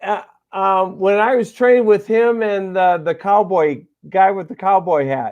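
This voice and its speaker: Loud and at a fairly slow pace, a man speaks in a high pitch with ordinary pitch variation. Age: 60s. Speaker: retired bus driver. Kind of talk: casual chat.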